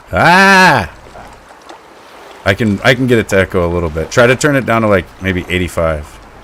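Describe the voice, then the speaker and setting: Loud and bright with a sharp tone, a man speaks at a fairly low pitch and a moderate pace, with lively intonation and long, frequent pauses. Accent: American. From US West, northwest Montana. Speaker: gaming streamer. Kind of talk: casual chat. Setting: live stream with voice chat party.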